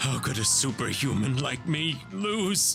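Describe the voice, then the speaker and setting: A man puts on a raspy character voice with very wide pitch swings at a fairly slow pace. Clear music plays in the background. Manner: groaning.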